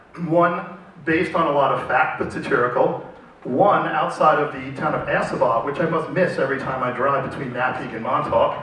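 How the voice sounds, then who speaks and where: A man with a high pitch speaks at a moderate pace amid noticeable background noise and audible room echo. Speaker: panel moderator. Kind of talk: moderated panel discussion.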